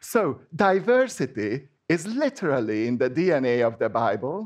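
A man with a Hungarian accent speaks at a fairly high pitch. His voice makes very wide pitch swings. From Hungary. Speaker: church member giving a sermon. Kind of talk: sermon. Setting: church with congregation. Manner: halting, with frequent fillers and restarts.

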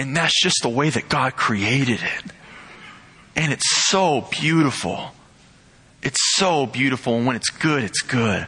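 The speaker goes at a fairly slow pace with long, frequent pauses and very even loudness. Pitch varies in an ordinary way over noticeable background noise. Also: man, medium pitch for a man. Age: young (19). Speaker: pastor's son, lay preacher. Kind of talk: sermon.

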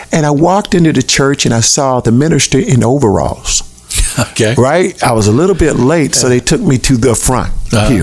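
Over noticeable background noise, a man speaks at a moderate pace. His fairly high pitch swings very widely. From US South, Tallahassee, Florida. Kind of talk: interview, testimony.

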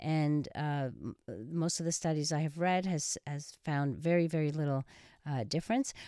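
At a moderate pace, a woman speaks with a very deep, low pitch, a dark, mellow tone and ordinary pitch variation. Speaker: sex therapist radio host. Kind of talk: radio call-in advice show. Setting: studio. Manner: loud.

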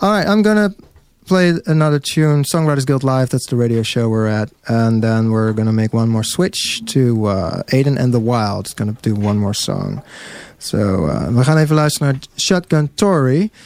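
Noticeable background noise under a man at medium pitch, moderate pace and very wide pitch swings. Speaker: radio host. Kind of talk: live radio show with interviews. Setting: radio studio with live bands. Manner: casual, hesitant with many fillers.

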